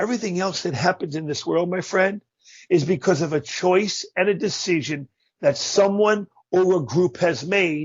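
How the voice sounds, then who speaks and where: A high-pitched male voice, moderate in pace, its pitch varying in an ordinary way. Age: 60s. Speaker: motivational speaker. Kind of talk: interview.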